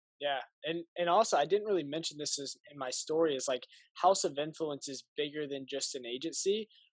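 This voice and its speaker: Speaking fairly quickly in an ordinary speaking voice with an American accent, a man with fairly high pitch, ordinary pitch variation and big swings in loudness is heard in a dry, close sound with no echo. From US Midwest, Indianapolis. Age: young. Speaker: marketing agency founder. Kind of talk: casual interview.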